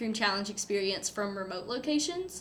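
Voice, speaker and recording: A woman speaks with a fairly high pitch. Noticeable background noise and audible room echo are present. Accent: North Carolina. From eastern North Carolina (Goldsboro). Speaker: student race director. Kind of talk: casual interview.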